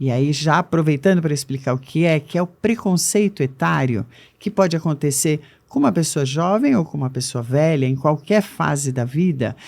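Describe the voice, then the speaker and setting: A woman's very deep, low voice with lively intonation, at a moderate pace, on a very clean recording with a silent background. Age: 60s. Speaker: age diversity consultant. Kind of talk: interview.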